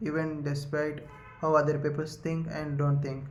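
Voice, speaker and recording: At a moderate pace, a man with a fairly high, somewhat breathy voice speaks in a room with audible echo. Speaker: YouTuber, book summary creator. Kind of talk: casual monologue, book summary. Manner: halting, many fillers.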